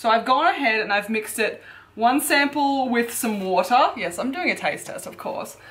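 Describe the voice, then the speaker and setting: Speaking in an Australian accent, a woman uses lively intonation. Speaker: fitness YouTuber. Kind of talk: product review vlog. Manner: casual, chatty.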